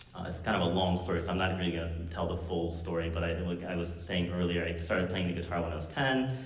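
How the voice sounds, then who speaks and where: Amid noticeable background noise and audible room echo, a man talks at a very fast pace in a very deep, low pitch. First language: Korean. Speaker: university music professor and guitarist. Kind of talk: spoken introduction at a concert. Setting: stage with live audience. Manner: casual, hesitant with many fillers.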